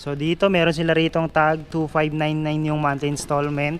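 At a fairly slow pace, a man speaks. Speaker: motorcycle vlogger. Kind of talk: casual vlog walkthrough commentary. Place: hall. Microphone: phone near.

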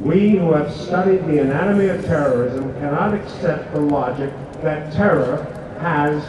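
A man's fairly slow speech with ordinary pitch variation, noticeable background noise and audible room echo. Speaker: speaker. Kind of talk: public speech. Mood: grave, earnest. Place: street.

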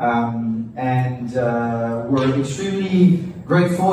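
A man talks in strong room echo, with light noise in the background. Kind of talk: welcome speech. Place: cafe. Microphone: pa.

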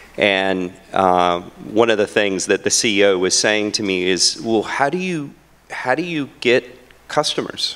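A man with an ordinary speaking voice, fairly low in pitch, lively in intonation and fairly slow in pace. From US South, North Carolina. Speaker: health tech CEO. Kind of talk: conference panel discussion. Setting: stage with audience. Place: hall. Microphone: handheld.

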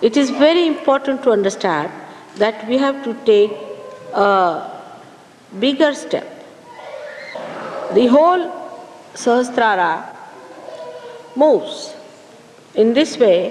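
Speaking very slowly with long, frequent pauses, a woman uses a high pitch and very wide pitch swings over light background noise. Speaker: spiritual teacher. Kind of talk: lecture. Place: hall.

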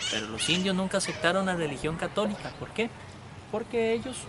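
Against loud background noise, a man speaks at a moderate pace with ordinary pitch variation in a dry sound with no echo. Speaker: local guide telling a legend. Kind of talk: storytelling tour guide talk. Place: street.

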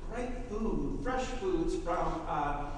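Strong room echo carries a man's voice. Light background noise sits beneath it. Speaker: minister. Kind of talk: church announcements. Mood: upbeat, enthusiastic. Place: church.

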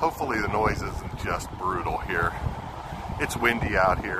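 Over loud background noise, a man speaks at a moderate pace, and the sound is dry with no echo. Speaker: ham radio operator streamer. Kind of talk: casual livestream commentary. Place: beach. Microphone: phone near.

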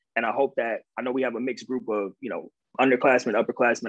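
A man talks at a fast pace. His voice has a slightly husky edge.

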